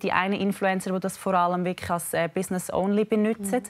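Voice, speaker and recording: The background is quiet. A woman speaks at a fairly quick pace. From Switzerland. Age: 20s. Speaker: fitness influencer. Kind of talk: TV interview. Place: studio. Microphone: lapel.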